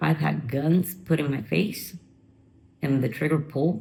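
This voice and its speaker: Her tone is dark and mellow, a little breathy, with a very deep, low pitch for a woman. The pitch moves in an ordinary way. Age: 50s. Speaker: former drug user sharing her recovery story. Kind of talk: interview testimony.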